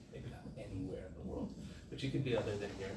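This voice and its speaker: A soft-spoken man talks very fast with ordinary pitch variation. Noticeable background noise and audible room echo are present. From Southern California. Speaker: rabbi and inspirational speaker. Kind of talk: inspirational talk to a live audience. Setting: room with live audience. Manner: casual, conversational.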